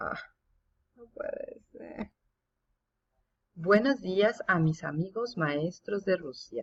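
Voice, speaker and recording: Talking at a very slow pace, a woman swings her pitch very widely. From Mexico. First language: Spanish. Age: 50s. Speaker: English teacher. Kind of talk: recorded presentation.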